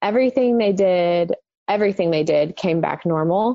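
With a normal speaking voice, a woman talks at a medium pitch, her pitch varying in an ordinary way. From Texas, Dallas-Fort Worth area. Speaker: mother sharing infertility story. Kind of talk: testimony.

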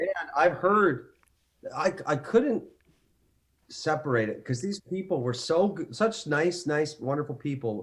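A man with a Canadian accent, fairly high-pitched and lively in intonation, at a fairly slow pace with long, frequent pauses. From Canada, Ontario. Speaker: actor. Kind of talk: casual chat.

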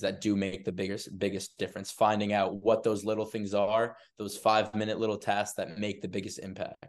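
Speaking at a moderate pace, a man with an American accent delivers his words in a monotone, flat intonation. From Massachusetts (Arlington, Boston area). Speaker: college basketball student manager. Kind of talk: casual chat.

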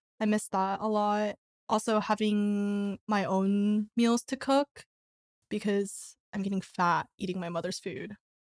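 With an American accent, a woman speaks in a normal speaking voice at a medium pitch and a fairly slow pace, her intonation fairly even and the sound dry and close with no echo. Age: 20s. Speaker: church member and part-time barista. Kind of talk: casual chat.

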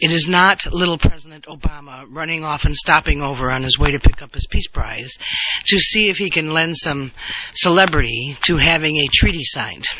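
Over noticeable background noise, a man with a fairly high voice talks at a moderate pace with ordinary pitch variation. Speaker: podcast host. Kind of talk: solo political commentary podcast. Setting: on the road. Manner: hesitant with frequent fillers.

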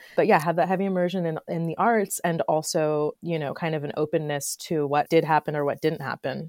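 With an unremarkable speaking voice, a woman talks at a fairly quick pace and fairly low pitch with fairly even intonation, in a dry, close sound with no echo on a very clean recording with a silent background. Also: hardly any pauses. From Florida. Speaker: textile artist. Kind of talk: casual chat.

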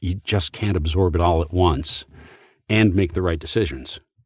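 Over a silent background, a man speaks in a very deep, low pitch with an American accent. The recording is very clean. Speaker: voice actor and retired Marine. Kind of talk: interview.

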